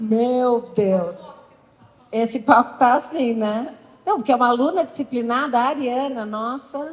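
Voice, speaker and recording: An animated woman with a high voice, at a fairly slow pace. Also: ordinary pitch variation. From Brazil. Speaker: talk host. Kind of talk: stage interview. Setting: stage with audience. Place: stage. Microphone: handheld.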